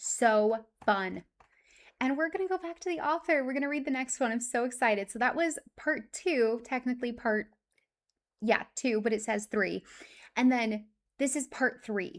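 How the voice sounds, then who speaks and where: Heard on a very clean recording with a silent background, a woman speaks in a high pitch at a moderate pace. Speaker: streamer reading stories aloud. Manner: emotional, excitable.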